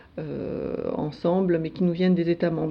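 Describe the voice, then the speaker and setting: A woman speaks at a fairly slow pace with a fairly low pitch. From France, Alsace (Strasbourg). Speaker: EU civil servant, internal newsletter editor. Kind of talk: radio interview. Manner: hesitant, many fillers.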